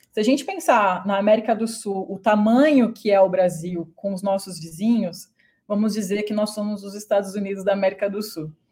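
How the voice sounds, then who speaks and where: A woman speaks at a moderate pace and a medium pitch, with big swings in loudness. Her tone is dark and mellow, and her voice is somewhat breathy. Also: ordinary pitch variation. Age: 30s. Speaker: business owner, internationalization consultant. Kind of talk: interview.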